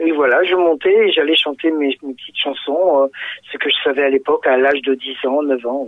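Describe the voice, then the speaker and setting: Speaking at a fairly quick pace, a man with a fairly high pitch keeps his intonation fairly even while his loudness swings widely. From southern France, Fréjus (Var). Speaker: singer. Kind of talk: radio interview. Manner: halting, many hesitations and repetitions.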